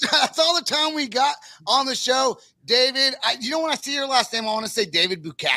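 A raised, projected voice with an American accent comes through at a moderate pace. Its tone is bright and sharp, in a very clean recording with a silent background. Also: man. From Northern California. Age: 40s. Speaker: podcast host. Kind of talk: casual chat.

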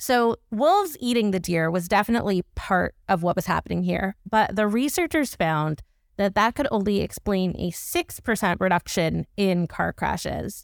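In a very clean recording with a silent background and a dry, close sound with no echo, a woman talks at a moderate pace with a medium pitch and ordinary pitch variation. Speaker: science podcast host. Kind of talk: casual chat. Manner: animated.

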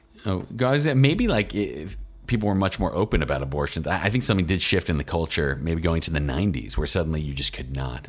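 A man talks at a fairly quick pace with a very deep, low pitch and very wide pitch swings. Noticeable background noise is present. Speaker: author. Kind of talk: casual chat.

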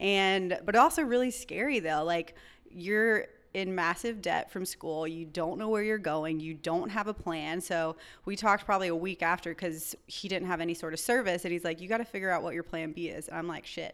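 With an American accent, a woman talks at a fairly quick pace in a normal speaking voice of medium pitch and ordinary pitch variation. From North Carolina. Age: young. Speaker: chiropractor. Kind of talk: interview conversation.

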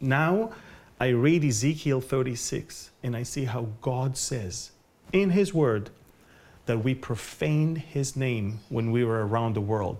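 A man speaks with an Israeli accent, a medium pitch and ordinary pitch variation. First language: Hebrew. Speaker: Bible prophecy teacher. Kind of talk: interview. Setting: at his home.

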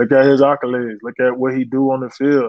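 With an American accent, a man talks at a fairly quick pace and a medium pitch. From Florida, West Palm Beach. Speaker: pro football player. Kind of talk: casual interview. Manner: loud.

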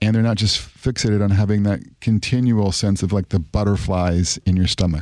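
A man's fairly low voice at a fairly quick pace, an ordinary speaking voice with fairly even intonation and very even loudness, on a very clean recording over a silent background. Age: 50s. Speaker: sociology professor. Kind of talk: interview.

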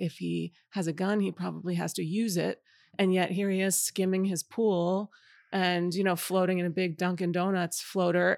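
With an ordinary speaking voice, a woman in an American accent speaks at a moderate pace and a fairly low pitch, in a very clean recording with a silent background and a dry, close sound with no echo. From New York City suburbs. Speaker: novelist. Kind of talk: interview. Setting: bookstore.

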